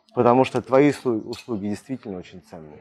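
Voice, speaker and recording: A dark, mellow tone at a fairly quick pace. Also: man. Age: 30s. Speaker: sales coach. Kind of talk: monologue podcast on sales. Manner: casual, filler-heavy.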